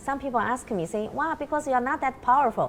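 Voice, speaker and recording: A woman speaks in a high voice with a Chinese accent. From China. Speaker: researcher. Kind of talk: interview conversation.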